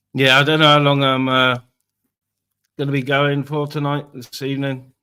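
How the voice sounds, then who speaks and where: A man with an English accent speaks in a flat monotone. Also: fairly high pitch for a man, moderate pace. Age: 40s. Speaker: live streamer. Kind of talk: casual chat. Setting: live stream.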